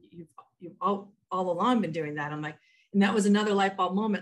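Very fast speech from a woman, medium in pitch. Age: 50s. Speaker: author and learning and development trainer. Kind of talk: interview. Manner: halting.

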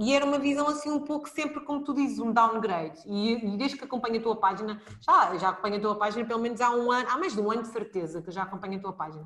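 A woman speaks in a European Portuguese accent at a fairly high pitch. Her pitch variation is ordinary, and there is noticeable background noise. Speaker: podcast host, early childhood educator. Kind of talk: live podcast interview.

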